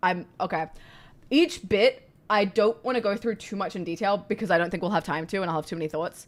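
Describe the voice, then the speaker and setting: A woman with a medium-pitched voice talks at a fairly quick pace with ordinary pitch variation, on a very clean recording with a silent background. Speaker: streamer. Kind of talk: live reaction stream. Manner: loud.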